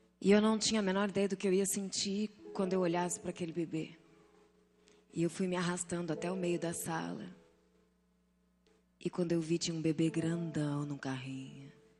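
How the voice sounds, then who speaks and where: A woman talks at a moderate pace with ordinary pitch variation, leaving long, frequent pauses over noticeable background noise. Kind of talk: testimony. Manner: emotional, preaching style.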